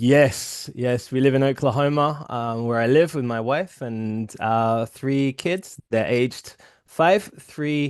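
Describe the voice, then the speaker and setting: At a very slow pace, a man with an English accent speaks at medium pitch with ordinary pitch variation and hardly any pauses. The background is quiet. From England. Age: 30s. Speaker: publisher and writer. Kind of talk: interview.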